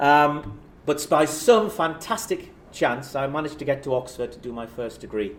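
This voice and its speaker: A man talks at a moderate pace with a fairly high pitch, lively intonation and big swings in loudness, and the room echo is audible. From northern England, South Shields (Tyneside). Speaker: professor. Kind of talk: lecture. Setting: stage with audience. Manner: casual, self-deprecating.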